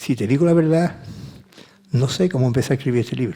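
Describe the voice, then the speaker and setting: A man speaks at a medium pitch. His tone is dark and mellow, and somewhat breathy. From Seville, Andalusia, Spain. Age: 70s. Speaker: author and music producer. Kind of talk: interview conversation at a book talk. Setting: conference with audience.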